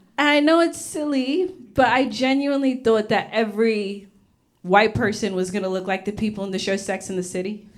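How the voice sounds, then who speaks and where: With lively intonation, a woman talks at a fairly high pitch, and the room echo is audible. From Australia (Rockhampton, Queensland), born in Uganda. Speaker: comedian. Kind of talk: stand-up. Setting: stage with audience. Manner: animated.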